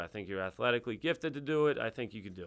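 Lively intonation colors a man's medium-pitched voice in a New York accent, recorded very cleanly over a silent background. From Long Island, New York (Bethpage). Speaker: high school lacrosse coach. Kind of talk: interview. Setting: studio.

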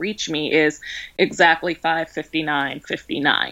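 A woman with an American accent speaks at a fairly low pitch in a bright, sharp tone. The recording is very clean, with a silent background. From Baltimore, Maryland. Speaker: wedding planner. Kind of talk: interview.

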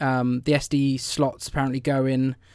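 A man speaks with a southern English accent at a medium pitch. His intonation is monotone and flat. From England, London area. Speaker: podcast co-host. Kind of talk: casual chat. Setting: remote audio call.

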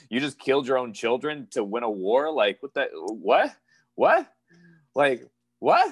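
With an American accent, a man talks at a fairly slow pace with long, frequent pauses, in a dry, close sound with no echo. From Pennsylvania, US. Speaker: professional wrestler. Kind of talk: interview.

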